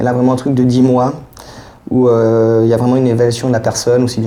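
Noticeable background noise sits behind a man speaking in a monotone, flat intonation. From Geneva, Switzerland. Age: 40s. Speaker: social assistance recipient. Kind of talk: casual conversation. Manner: hesitant, with fillers.

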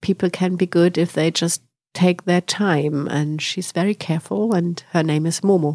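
A fairly low-pitched woman with a German accent, fairly slow and fairly even in intonation, in a dry, close sound with no echo. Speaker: director of a children's literature house. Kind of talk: interview. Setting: recording while visiting Sweden.

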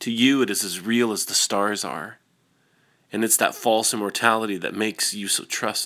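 A man speaks at a fairly low pitch with a bright, sharp tone. The recording is very clean, with a silent background. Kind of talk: poem reading. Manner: slow, somber and wistful, with deliberate pauses; intimate and softly emotional, almost confessional.

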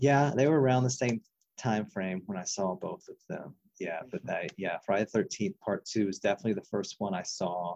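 A man with an unremarkable speaking voice talks at a fairly quick pace and fairly low pitch with ordinary pitch variation, in a dry, close sound with no echo. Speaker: guest, horror film fan, academic advisor. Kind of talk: casual chat.

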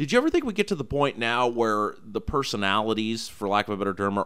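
A man with an American accent talks at a fairly quick pace in an unremarkable speaking voice, pitched fairly low, on a very clean recording with a silent background. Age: 30s. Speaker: radio host. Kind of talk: interview; radio announcements. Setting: radio studio.

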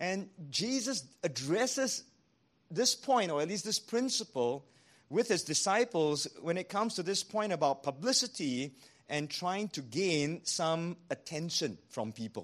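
Against a quiet background, a man with a Singaporean accent speaks fairly slowly in a high voice that swings very widely in pitch. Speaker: pastor. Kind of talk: sermon. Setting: church.

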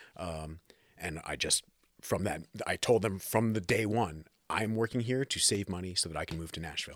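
In a normal speaking voice with an American accent, a man talks at a moderate pace with a fairly low pitch and ordinary pitch variation. The recording is very clean, with a silent background. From New Jersey. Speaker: keyboardist and producer. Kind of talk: casual interview.

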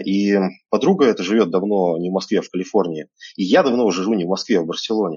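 This man has an unremarkable speaking voice. His pitch sits fairly low, with ordinary pitch variation. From Siberia, Russia (Krasnoyarsk). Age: 30s. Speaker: entrepreneur and networking speaker. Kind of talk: online lecture. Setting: live stream broadcast. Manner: casual, with many fillers.

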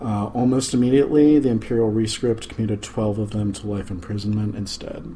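A quiet, somewhat breathy man speaks with a dark, mellow tone at a fairly low pitch. His pace is fairly quick, with hardly any pauses and fairly even intonation. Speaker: podcast host. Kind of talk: casual chat. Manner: low, quiet talker.

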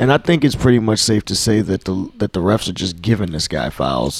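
Dry, close sound with no echo around a man's unremarkable speaking voice, fairly low in pitch, with lively intonation and a moderate pace. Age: 30s. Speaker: podcast co-host. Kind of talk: casual chat.

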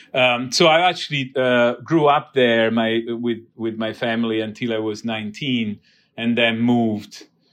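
With an Italian accent, a man speaks at a moderate pace and medium pitch with ordinary pitch variation. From southern Italy. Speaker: biotech CEO. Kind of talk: interview.

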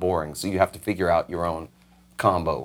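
The recording is very clean. Behind the American accent, the background is silent. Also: man. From New York, the Bronx. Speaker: session musician. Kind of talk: casual interview.

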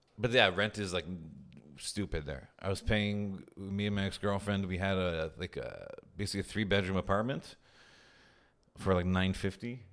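A man with a Montreal accent speaks at a fairly low pitch with fairly even intonation. He leaves long, frequent pauses. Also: moderate pace. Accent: Montreal English (Canadian). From Montreal, Quebec. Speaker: stand-up comedian. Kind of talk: casual chat.

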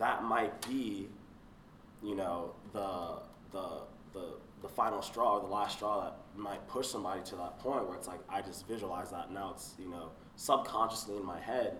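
Loudness swings widely, with noticeable background noise and audible room echo. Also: man. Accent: American. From South Florida. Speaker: student. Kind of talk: casual chat.

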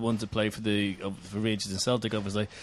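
Fairly low in pitch, a man speaks with a Northern Irish accent. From Northern Ireland. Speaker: podcast co-host. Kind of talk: casual chat.

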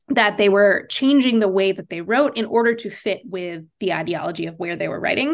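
A woman with a medium pitch speaks at a moderate pace with lively intonation, in an unremarkable speaking voice. The background is quiet. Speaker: Judaic studies professor. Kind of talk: podcast interview.

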